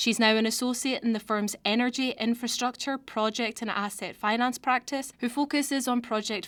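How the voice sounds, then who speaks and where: A woman talks at a fairly quick pace with a fairly high pitch. The recording is very clean, with a silent background. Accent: Scottish. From Scotland. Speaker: podcast host, legal recruiting coordinator. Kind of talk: scripted podcast intro.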